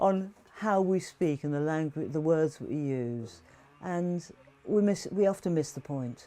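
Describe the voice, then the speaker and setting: Dark and mellow in tone, a woman's very deep, low voice moves at a fairly slow pace. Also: ordinary pitch variation. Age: 60s. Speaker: political activist. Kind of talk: oral history interview.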